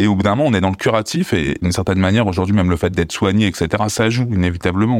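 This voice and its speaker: This man talks at a fairly quick pace. His pitch is very deep and low. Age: 40s. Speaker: abuse survivor and activist. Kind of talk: testimony. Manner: halting.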